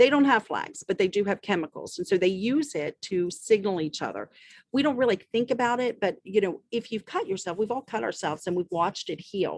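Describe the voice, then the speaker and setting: Dry and close with no echo, a woman speaks in an unremarkable speaking voice. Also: medium pitch for a woman, lively intonation, fairly quick pace. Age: 60s. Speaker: medical doctor. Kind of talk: interview answering questions.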